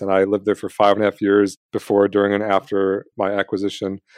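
A man's ordinary speaking voice, fairly low and fairly quick, in a dry, close sound with no echo over a quiet background. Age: 30s. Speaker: personal finance educator. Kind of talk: interview conversation.

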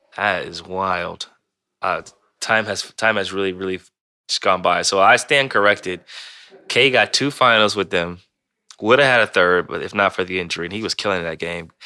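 A man speaks at a moderate pace with a fairly low pitch and ordinary pitch variation. His tone is bright and sharp, broken by long, frequent pauses. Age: 30s. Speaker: sports podcast host. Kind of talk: casual sports podcast chat and interview.

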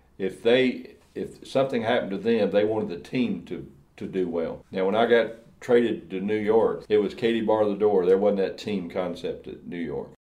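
A man with an American accent speaks at a moderate pace in a fairly low pitch, with a dark, mellow tone. His pitch varies in an ordinary way, and audible room echo surrounds him. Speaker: former NFL player. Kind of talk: interview.

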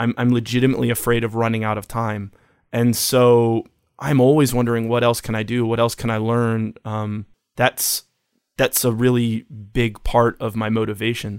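At a moderate pace, a man talks in a monotone, flat intonation on a very clean recording with a silent background. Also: medium pitch for a man. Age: 40s. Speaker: photographer, designer and musician. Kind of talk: interview.

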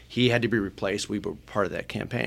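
A man with an American accent speaks in a plain, everyday voice with a fairly low pitch. The recording is very clean, with a silent background. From Michigan. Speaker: political pollster. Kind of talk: podcast interview.

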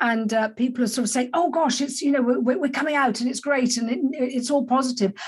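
A woman with a British accent talks at a very fast pace, with hardly any pauses, over noticeable background noise. Her pitch is high and her intonation fairly even. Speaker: podcast host. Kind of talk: casual interview chat. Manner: hesitant, many fillers.

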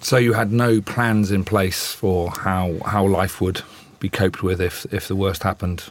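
Very deep and low, this man's voice stays flat and monotone. He talks at a fairly slow pace. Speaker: interviewer. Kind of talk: interview.

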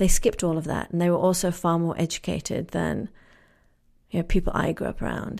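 Fairly quick woman's speech with an American accent, on a very clean recording with a silent background. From England. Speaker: storyteller and writing teacher. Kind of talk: live storytelling on stage; casual interview conversation. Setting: stage with audience.

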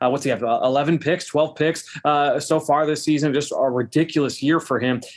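A man with an unremarkable speaking voice, fairly high pitch, fairly even intonation, very even loudness and a moderate pace. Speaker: podcast host. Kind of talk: casual sports analysis podcast.

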